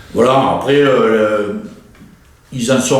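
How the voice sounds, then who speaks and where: A man's voice with fairly even intonation, audible room echo and noticeable background noise. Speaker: war veteran. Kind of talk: interview. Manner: hesitant, many fillers.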